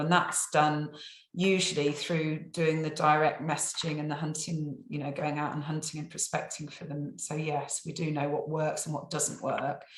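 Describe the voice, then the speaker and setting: A woman with an English accent speaks at a moderate pace, her very deep, low voice somewhat breathy amid audible room echo. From England. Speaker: survey company staff member. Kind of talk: client testimonial interview. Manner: hesitant, many fillers and repeats.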